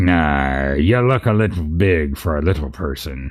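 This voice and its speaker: In a put-on character voice, a man growls with a gravelly, very deep, low pitch and a menacing tone. His intonation is lively and his pace moderate. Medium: read story. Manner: menacing, gloating.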